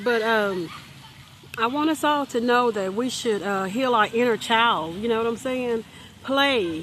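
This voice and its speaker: The tone is relaxed and the pace fairly slow. Noticeable background noise runs underneath. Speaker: motivational vlogger. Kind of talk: unscripted motivational vlog. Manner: halting, stuttering; relaxed, conversational.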